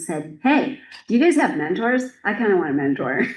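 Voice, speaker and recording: Audible echo fills the room as a woman talks at a moderate speed, her pitch varying in an ordinary way. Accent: General American. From United States. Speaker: archivist and registrar. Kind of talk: conference presentation. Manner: direct.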